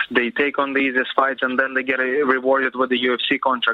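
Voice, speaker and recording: A man at a fairly quick pace, monotone and flat in intonation, with noticeable background noise. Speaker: professional MMA fighter. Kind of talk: interview.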